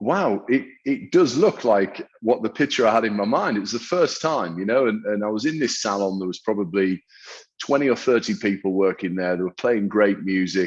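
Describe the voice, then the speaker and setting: With a northern English accent, a man speaks at a moderate pace in a fairly low pitch, his intonation lively. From northern England. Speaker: hairdresser and salon owner. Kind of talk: interview. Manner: hesitant, many repetitions and fillers.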